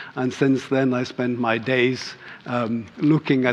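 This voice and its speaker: Monotone, flat delivery in a Scottish accent over noticeable background noise. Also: man. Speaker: EU agency team leader, energy efficiency engineer. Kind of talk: conference presentation. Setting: conference stage with panel. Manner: trying to speak clearly.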